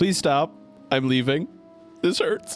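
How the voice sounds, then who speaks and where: Against clear background music, a man does a put-on character voice, fairly high in pitch with lively intonation. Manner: halting, winded.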